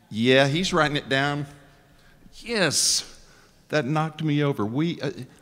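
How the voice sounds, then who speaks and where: A man with a fairly high pitch and a Texan accent, at a fairly slow pace. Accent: Texan US Southern. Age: 60s. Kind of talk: talk to a live audience. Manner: conversational, joking, interactive.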